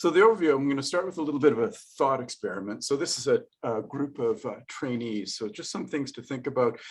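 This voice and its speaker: The man speaks at a very fast pace with a fairly high pitch and lively intonation. His loudness swings widely. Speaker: professor. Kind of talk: lecture. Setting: video call.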